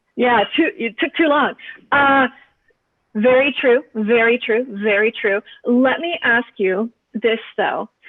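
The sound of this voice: Slowly and with ordinary pitch variation, a woman with a fairly high pitch speaks in a dry, close sound with no echo.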